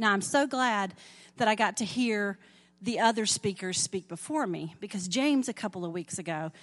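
Over a quiet background, a woman with a Southern US accent speaks at a medium pitch with lively intonation. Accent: southern drawl. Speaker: lay preacher. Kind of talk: sermon. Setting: church.

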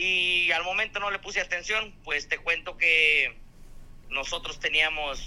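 The speaker is a man with a fairly high pitch. His tone comes across bright and sharp. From Mexico. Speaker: truck driver and clown. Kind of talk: casual chat.

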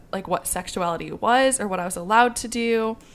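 At a moderate pace, a woman with an unremarkable speaking voice talks, her pitch varying in an ordinary way. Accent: American. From US Midwest. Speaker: podcast co-host. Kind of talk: casual chat.

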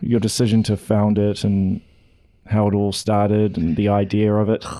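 His pitch is fairly low. This man speaks at a moderate pace. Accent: New Zealand. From Auckland, New Zealand. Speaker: podcast host. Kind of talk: casual interview. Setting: studio.

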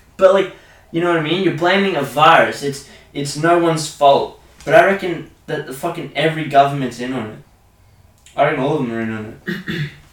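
At a fairly quick pace, a man speaks with a fairly high pitch, ordinary pitch variation and big swings in loudness. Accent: Australian. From Australia. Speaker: podcast host. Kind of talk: casual chat.

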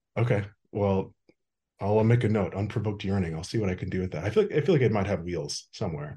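Speaking very fast with an American accent, a man has a dark, mellow tone, a fairly low pitch and ordinary pitch variation. His voice is somewhat breathy against a quiet background. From Wisconsin, US Midwest. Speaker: podcast host. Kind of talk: casual interview chat.

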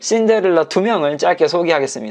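A man's fairly slow speech with lively intonation. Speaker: Korean language teacher and podcast host. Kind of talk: educational podcast monologue about Korean dramas. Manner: normal conversational speed; clear, simple enunciation for learners.

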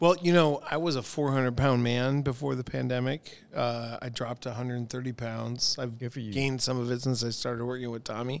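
In an American accent, a man uses an ordinary speaking voice at medium pitch, talking at a moderate pace with fairly even intonation and hardly any pauses. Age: 40s. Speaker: bartender and restaurateur. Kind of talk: casual chat.

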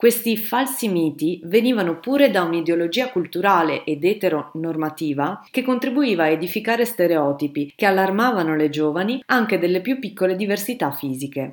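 With an unremarkable speaking voice at a medium pitch, a woman talks at a fairly quick pace with lively intonation and hardly any pauses. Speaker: historian. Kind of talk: scripted narration.

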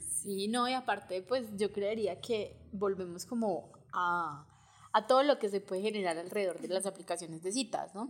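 An ordinary speaking voice from a woman at medium pitch, moderate pace and ordinary pitch variation. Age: 30s. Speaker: podcast co-host, economist. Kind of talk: casual conversation.

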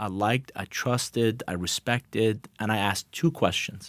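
Speaking at a moderate pace, a man with a Persian accent comes through on a very clean recording with a silent background. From Iran, then Atlanta from teens. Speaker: business consultant. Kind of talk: interview.

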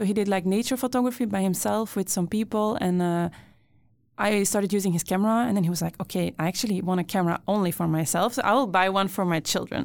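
Very fast and very even in loudness, a woman with a Brussels accent speaks at medium pitch with ordinary variation in a very clean recording with a silent background. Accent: Belgian (Brussels) accent in English. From Belgium, Brussels. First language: Dutch, French and Italian. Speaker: photographer. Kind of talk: casual chat. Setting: studio.

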